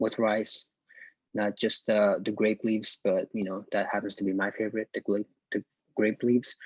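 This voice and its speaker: A man speaks with an Arabic accent at a fairly low pitch. The sound is dry and close, with no echo. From Iraq. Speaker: university student presenter. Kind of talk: class presentation. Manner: hesitant, many fillers.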